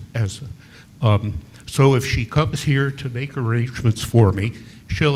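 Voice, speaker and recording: Speaking at a fairly slow pace, a man with a medium-pitched, somewhat breathy voice shows ordinary pitch variation. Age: 80s+. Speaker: local resident. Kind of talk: public comment at city meeting. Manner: halting.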